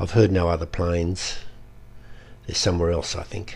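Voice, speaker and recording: A man talks in a somewhat breathy voice. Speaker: performance poet. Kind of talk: poetry reading.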